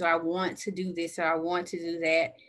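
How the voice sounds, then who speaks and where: A woman with an Alabama accent. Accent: Southern US (Alabama). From US South, Birmingham, Alabama. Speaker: civil engineer. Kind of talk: casual chat.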